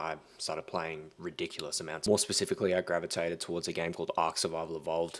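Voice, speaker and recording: A man with a very deep, low pitch speaks at a very fast pace. His intonation is monotone and flat, with hardly any pauses. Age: young. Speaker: online entrepreneur. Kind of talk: casual talk to camera.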